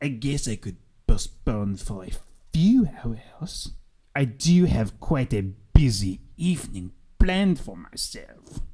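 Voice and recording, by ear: Using a put-on character voice, a man speaks at a fairly slow pace with a medium pitch.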